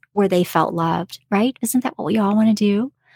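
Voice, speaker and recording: With an unremarkable speaking voice, a woman talks in a fairly high pitch with lively intonation, the sound dry and close with no echo. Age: 40s. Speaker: podcast host, homemaker and homeschooling mother. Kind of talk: solo podcast monologue. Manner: conversational with frequent filler words.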